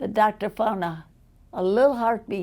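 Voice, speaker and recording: With a Chicago accent, a woman speaks very slowly in a dark, mellow tone with ordinary pitch variation. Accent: Chicago American English. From US Midwest, Chicago. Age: 80s+. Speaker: interviewee. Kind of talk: life story interview.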